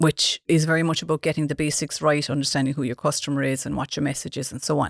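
A woman with a Cork accent, a very deep, low pitch and monotone, flat intonation, in a dry, close sound with no echo and a very clean recording against a silent background. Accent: Cork Irish. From Ireland, West Cork (Dunmanway). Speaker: marketing consultant and author. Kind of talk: interview.

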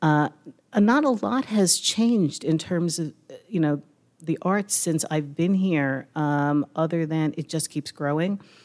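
The delivery is fairly slow, with ordinary pitch variation. The recording is very clean, with a silent background. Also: woman, very deep, low pitch for a woman. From Brooklyn. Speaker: arts journalist. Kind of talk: live panel discussion. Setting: stage with audience. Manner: halting.

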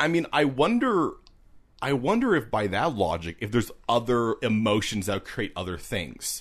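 Against a quiet background, a loud man speaks at a moderate pace and medium pitch, his voice moving in very wide pitch swings. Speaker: podcast co-host. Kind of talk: casual chat. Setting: outdoors at a picnic table.

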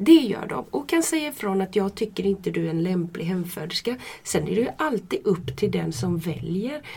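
A woman's medium-pitched voice at a moderate pace, with very wide pitch swings and hardly any pauses. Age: 50s. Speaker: midwife. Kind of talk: casual interview. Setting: studio, shared microphone.

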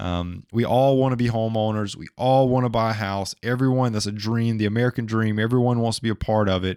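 A man at medium pitch and a fairly quick pace, on a very clean recording with a silent background. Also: dry, close sound with no echo. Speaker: finance podcast host. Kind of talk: educational talk with slides. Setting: screen-shared video tutorial. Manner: animated, playful.

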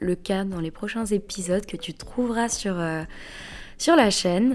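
The pace is fairly slow. The intonation is lively. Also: woman. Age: 20s. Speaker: podcast host. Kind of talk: solo podcast introduction. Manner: casual, hesitant with fillers.

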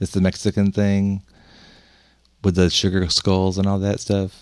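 A man with a fairly low voice, an American accent and a moderate pace. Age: 50s. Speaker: podcast host. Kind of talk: casual chat.

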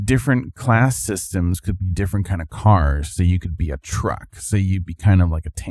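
Speaking at a moderate pace with hardly any pauses, a man uses a very deep, low, somewhat breathy voice with lively intonation. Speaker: podcast co-host. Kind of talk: casual chat.

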